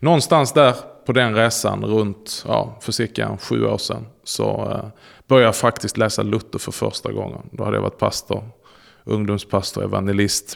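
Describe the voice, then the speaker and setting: The recording is very clean, with a silent background. A man speaks at a fairly quick pace. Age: 40s. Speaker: pastor. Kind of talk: interview.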